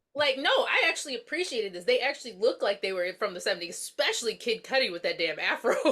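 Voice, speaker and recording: A woman speaks very fast in an American accent, her high voice swinging very widely in pitch with hardly any pauses over noticeable background noise. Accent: Southern US, comes and goes. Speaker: podcast host. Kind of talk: casual chat.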